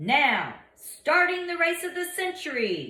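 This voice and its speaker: In an extremely high, put-on character voice, a woman talks at a fairly slow pace. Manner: booming, theatrical.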